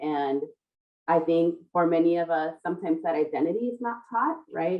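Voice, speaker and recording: A woman with an American accent and a fairly low pitch speaks at a moderate pace in an ordinary speaking voice. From South Central Los Angeles. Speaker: panel co-host. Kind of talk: panel discussion. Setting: video call.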